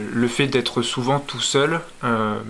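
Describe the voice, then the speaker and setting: A medium-pitched man at a fairly slow pace. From France, Charente-Maritime. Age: 20s. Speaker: wildlife photographer. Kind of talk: interview testimony. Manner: hesitant, many fillers.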